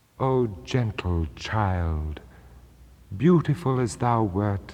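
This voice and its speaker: At a very slow pace, a man speaks in a fairly low pitch with very wide pitch swings. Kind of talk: poetry reading.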